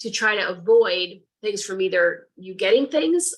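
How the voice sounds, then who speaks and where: With an American accent, a woman talks at a moderate pace in a plain, everyday voice, her medium pitch showing ordinary variation. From Connecticut, US. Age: 60s. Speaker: reiki practitioner and nurse. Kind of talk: lecture.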